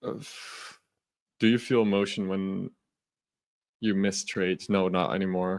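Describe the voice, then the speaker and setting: A man talks at a fairly slow pace with long, frequent pauses. His pitch is fairly low. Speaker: futures day trader streamer. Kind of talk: live trading stream chat. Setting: live stream. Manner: loud.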